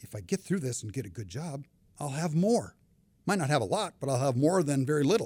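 A man with an American accent talks at a fairly quick pace in a fairly high, somewhat breathy voice with a dark, mellow tone and very wide pitch swings. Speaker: retired banker and finance expert. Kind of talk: casual interview conversation. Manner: humorous, chatty.

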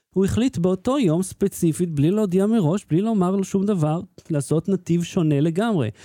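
A man speaks with a high-pitched voice and a dark, mellow tone. His pace is moderate and his loudness very even. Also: ordinary pitch variation. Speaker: tech podcast host. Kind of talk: casual chat; show sign-off.

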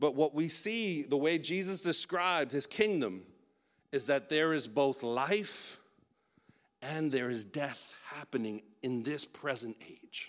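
A man's fairly high voice, lively in intonation and very slow in pace, on a very clean recording with a silent background. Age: 40s. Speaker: pastor. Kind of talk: sermon. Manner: halting.

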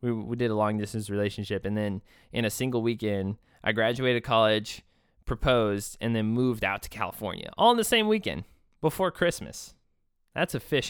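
A male voice with an American accent, medium pitch and ordinary pitch variation, fairly quick, very cleanly recorded against a silent background. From Texas. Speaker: podcast host and therapist. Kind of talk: solo podcast monologue. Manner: animated; halting.

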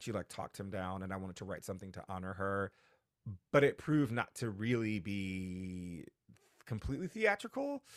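On a very clean recording with a silent background, a normal speaking voice keeps up a moderate pace. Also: man. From New Haven, Connecticut. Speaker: actor and playwright. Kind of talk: interview.

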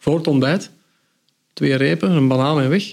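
Speaking at a fairly quick pace, a man has a normal speaking voice and a fairly high pitch. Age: 50s. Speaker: cycling book author. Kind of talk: podcast interview.

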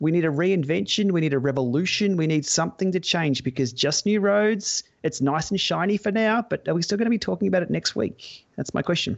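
A man with an Australian accent talks at a fairly quick pace with a high pitch, lively intonation, very even loudness and hardly any pauses. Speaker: podcast co-host.

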